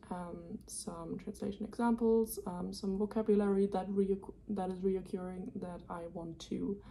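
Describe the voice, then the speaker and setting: Speaking in a German accent, a woman talks at a fairly slow pace with a medium pitch, monotone and flat intonation, a somewhat breathy sound and hardly any pauses. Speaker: student vlogger. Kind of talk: casual vlog narration. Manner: hesitant with many fillers.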